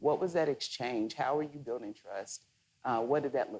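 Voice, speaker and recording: A Southern US accent at a fairly quick pace. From Mississippi. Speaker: moderator. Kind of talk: onstage interview. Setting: stage with audience.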